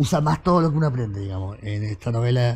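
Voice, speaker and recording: The man's voice is somewhat breathy with a dark, mellow tone. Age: 50s. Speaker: writer and journalist; guest. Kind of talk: casual chat. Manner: halting, many repetitions and fillers. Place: studio. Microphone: lapel.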